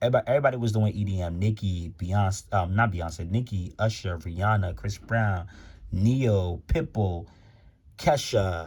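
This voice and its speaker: A man with a fairly low pitch and a somewhat breathy voice talks with ordinary pitch variation in a very clean recording against a silent background. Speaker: music commentary YouTuber. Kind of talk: casual vlog commentary. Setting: home, in his room. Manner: fast; stuttering, many fillers.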